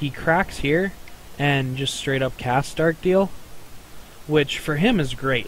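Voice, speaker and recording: A fairly high-pitched man with ordinary pitch variation, amid noticeable background noise. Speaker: card game player. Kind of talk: casual gameplay commentary.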